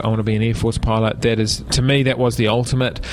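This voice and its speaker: Over noticeable background noise, a man with a New Zealand accent talks at a very fast pace and a medium pitch. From New Zealand, Palmerston North. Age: 40s. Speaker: political candidate, former air force pilot. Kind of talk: radio interview. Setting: radio studio.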